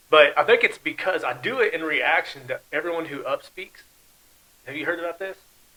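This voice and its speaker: A man talks with high pitch and a bright, sharp tone at a fairly quick pace. His intonation is lively and his loudness swings widely. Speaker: podcast host. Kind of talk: casual chat. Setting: studio. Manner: trails off at sentence ends; falling intonation, down talker.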